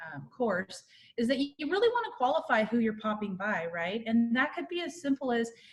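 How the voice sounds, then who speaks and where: A woman speaks in a somewhat breathy voice. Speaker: real estate marketing presenter. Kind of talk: webinar presentation. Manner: fast.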